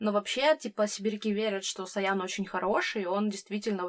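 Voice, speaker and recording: A woman with an ordinary speaking voice talks at a medium pitch. Her pace is fairly quick and her intonation fairly even. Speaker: podcast host. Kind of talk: casual chat.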